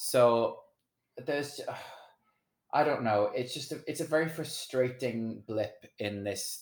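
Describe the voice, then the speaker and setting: A man speaks at a fairly slow pace with an American accent. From Wales. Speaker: singer-songwriter and DJ. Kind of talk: casual chat.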